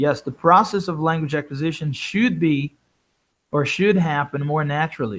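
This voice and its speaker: In a Portuguese accent, a man speaks at a moderate pace, his fairly high pitch showing ordinary variation. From Brazil. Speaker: English teacher trainer. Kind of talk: webinar lecture. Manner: animated.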